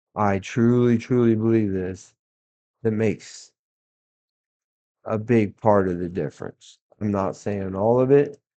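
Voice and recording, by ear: A man with a fairly low pitch and a dark, mellow tone speaks at a slow pace, using ordinary pitch variation and long, frequent pauses.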